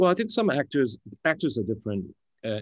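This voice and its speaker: A man speaks with a Singaporean accent. The background is quiet. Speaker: actor moderating a film Q&A. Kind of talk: panel interview. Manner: halting, many fillers.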